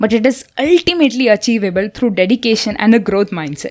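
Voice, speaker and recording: Over music in the background, a woman with an Indian accent speaks fairly quickly at a fairly high pitch. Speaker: architecture student. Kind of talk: audiobook book summary narration.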